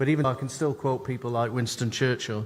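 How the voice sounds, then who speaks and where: A man with an English accent, medium in pitch, fairly even in intonation, at a fairly quick pace. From England. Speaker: customer experience consultant and keynote speaker. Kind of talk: conference keynote.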